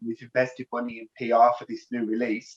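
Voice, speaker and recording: Speaking at a fairly quick pace, a man talks with a Birmingham accent. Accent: Birmingham (Brummie) English. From Birmingham area, England. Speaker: rock band lead singer. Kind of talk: casual interview.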